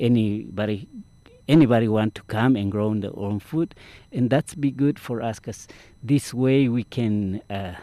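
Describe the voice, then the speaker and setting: A man with a Mesoamerican accent talks at a fairly slow pace, with a dark, mellow tone and ordinary pitch variation. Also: medium pitch for a man. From Guatemala. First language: Mayan language. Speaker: farmworker community organizer. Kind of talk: interview. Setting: outdoors.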